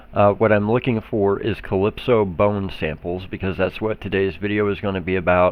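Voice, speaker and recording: This man has an Oklahoma accent and a fairly low pitch. He keeps a moderate pace. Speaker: gaming YouTuber. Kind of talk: gameplay tutorial. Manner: casual, with fillers.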